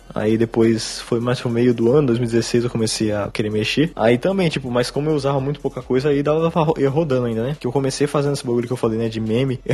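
A man speaks at a very fast pace with hardly any pauses, his medium-pitched voice following a fairly even intonation. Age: 20s. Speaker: beatmaker and YouTuber. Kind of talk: casual chat. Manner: casual slangy speech.

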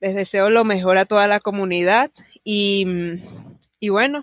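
In an ordinary speaking voice, a woman talks at a fairly slow pace with medium pitch and fairly even intonation. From Venezuela. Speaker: podcast listener. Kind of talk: recorded voice message. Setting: voice message recording.

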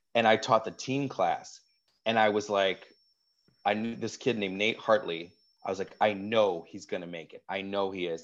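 A man with an American accent and a plain, everyday voice speaks at a fairly low pitch and a moderate pace, his intonation fairly even but his loudness swinging widely. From Wisconsin, US. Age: 40s. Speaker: actor and comedian. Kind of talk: casual interview chat. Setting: video call.

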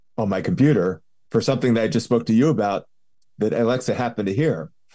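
A fairly low-pitched man with an American accent, a dark, mellow tone and lively intonation, on a very clean recording with a silent background. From Philadelphia, US. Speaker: patient advocate and health tech advisor. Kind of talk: interview conversation. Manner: halting with many repeated words.

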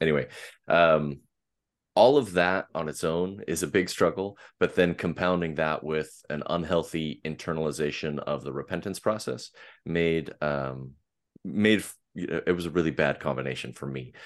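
Speaking at a moderate pace with an American accent, a man uses a very deep, low voice with vocal fry and ordinary pitch variation against a quiet background. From US Pacific Northwest, Portland. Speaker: podcast host. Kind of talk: interview conversation. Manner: pleasant.

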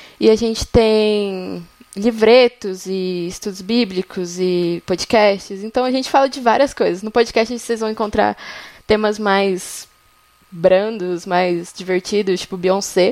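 Intonation stays fairly even as the speech moves at a very slow pace. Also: woman, medium pitch for a woman. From São Paulo, Brazil. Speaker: journalism student, faith project organizer. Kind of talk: casual chat.

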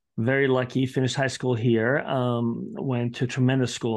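With an Italian accent, a man talks at a fairly quick pace in a medium pitch. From Bologna, Italy. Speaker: orthopedic surgeon and professor. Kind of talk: casual interview chat.

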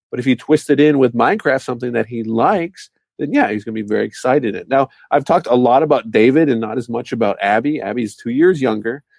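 Talking at a very fast pace, a man uses lively intonation in a dry, close sound with no echo. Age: 30s. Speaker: e-commerce entrepreneur and parent. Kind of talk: casual interview.

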